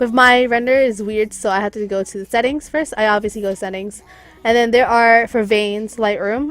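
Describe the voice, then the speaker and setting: A woman's fairly high-pitched voice at a fairly quick pace, with fairly even intonation. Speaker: graphics designer, tutorial maker. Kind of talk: tutorial. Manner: fast; casual, hesitant with fillers.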